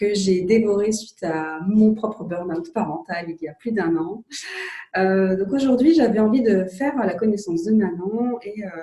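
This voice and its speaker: In an ordinary speaking voice, a woman speaks at a fairly slow pace with a medium pitch and ordinary pitch variation. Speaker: psychologist and coach. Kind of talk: interview questions.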